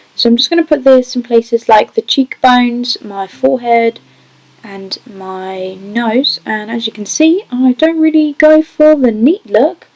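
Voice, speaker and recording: The intonation is lively. Noticeable background noise accompanies a dry, close sound with no echo. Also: woman. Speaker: beauty vlogger. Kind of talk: makeup tutorial. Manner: stutter; casual voiceover.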